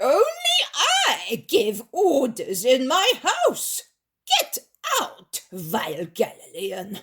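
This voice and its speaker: This put-on character voice is high-pitched and squeaky, shouting. It moves at a very slow pace. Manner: shouting, imperious.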